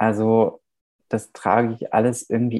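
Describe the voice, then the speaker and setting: A man's medium-pitched voice, dark and mellow, dry and close with no echo, against a quiet background. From Germany, Nuremberg (born in Romania). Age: 30s. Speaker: playwright. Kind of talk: interview.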